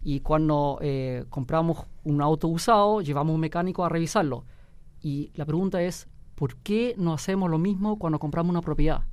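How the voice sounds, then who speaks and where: A man talks at a moderate pace with fairly high pitch and ordinary pitch variation, in a very clean recording with a silent background. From Germany. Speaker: real estate company director. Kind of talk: radio interview. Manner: hesitant, many fillers.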